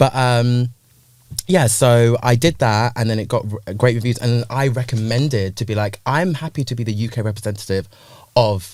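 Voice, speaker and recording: A man with a medium pitch and ordinary pitch variation, talking at a moderate pace. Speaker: music industry creative director. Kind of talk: casual chat. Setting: studio. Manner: loud.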